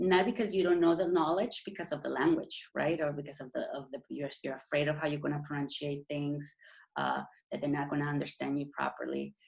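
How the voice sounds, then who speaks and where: Her pitch is very deep and low, with ordinary variation and vocal fry, as a woman speaks. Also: fairly quick pace. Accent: Mexican. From Mexico. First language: Spanish. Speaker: endocrinologist. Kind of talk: interview. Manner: halting.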